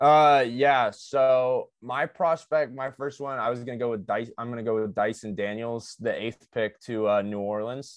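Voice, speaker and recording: In a normal speaking voice at medium pitch, a man talks at a moderate pace with hardly any pauses against a quiet background. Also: ordinary pitch variation. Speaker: podcast co-host. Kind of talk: casual chat.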